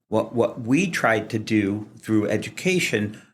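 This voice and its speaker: A man with an American accent speaks at a fairly slow pace in a fairly low pitch, an unremarkable speaking voice. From US Midwest, Kansas City. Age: 60s. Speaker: fire sprinkler industry association president. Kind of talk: interview. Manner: casual with fillers.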